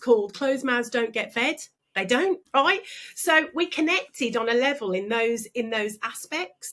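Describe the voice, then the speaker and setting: Speaking in a Birmingham accent, a woman talks at a moderate pace. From Birmingham, England. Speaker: business coach and speaker. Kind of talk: interview. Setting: podcast. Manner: animated.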